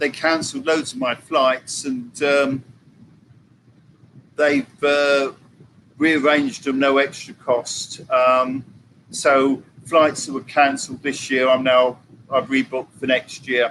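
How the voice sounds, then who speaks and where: A man with an English accent, fairly slow, with fairly even intonation and long, frequent pauses. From England. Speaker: vlogger. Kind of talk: live stream chat.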